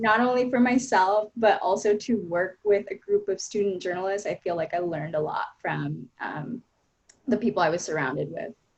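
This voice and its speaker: A woman talks at a moderate pace in a plain, everyday voice. Her pitch is medium, with ordinary pitch variation. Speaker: education reporter. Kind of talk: panel discussion.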